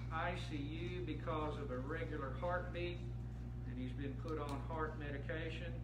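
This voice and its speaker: There is loud background noise. Over it, a man talks at a moderate pace. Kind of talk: announcements to the congregation. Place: church. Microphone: camera far.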